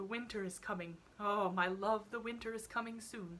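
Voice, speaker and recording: Putting on a character voice, a woman speaks at a moderate pace with fairly even intonation and a medium pitch. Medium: read story. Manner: soft, affectionate.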